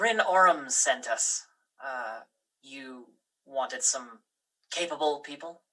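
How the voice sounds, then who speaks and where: A put-on character voice at a low-to-middle pitch moves at a fairly slow pace. Long, frequent pauses break up the speech. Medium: actual play.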